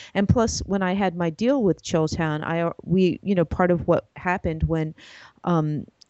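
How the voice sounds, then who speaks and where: With an American accent, a woman speaks. Her pitch variation is ordinary. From New York City (the Bronx). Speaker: animator and web series creator. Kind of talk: interview.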